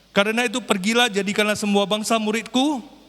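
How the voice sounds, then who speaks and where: A very fast-talking man with a high pitch. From North Sumatra, Indonesia. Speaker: lay preacher. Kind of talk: sermon. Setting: church. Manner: occasional repetitions and false starts.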